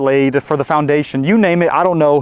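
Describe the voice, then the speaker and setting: A man with a fairly high pitch talks at a fairly quick pace with ordinary pitch variation. The sound is dry and close, with no echo. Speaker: home builder and video host. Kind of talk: casual vlog narration. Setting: outdoors. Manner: animated.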